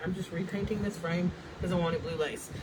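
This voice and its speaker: Fairly even intonation from a woman at medium pitch, with noticeable noise in the background. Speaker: paint brand owner demonstrating products. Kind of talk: livestream painting demo. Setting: Facebook live video. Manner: loud.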